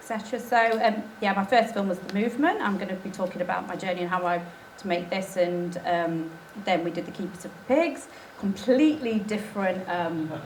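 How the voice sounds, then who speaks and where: Delivered at a fairly quick pace with ordinary pitch variation, the speech carries noticeable background noise and audible room echo. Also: woman, medium pitch for a woman. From England, Nottingham. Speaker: documentary filmmaker. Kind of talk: conference talk. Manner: hesitant, many fillers.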